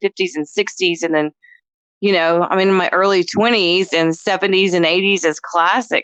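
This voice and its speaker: Medium in pitch, a woman with an American accent speaks at a moderate pace in a normal speaking voice. The sound is dry and close, with no echo. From North Texas. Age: 50s. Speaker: voice actress. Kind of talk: casual chat.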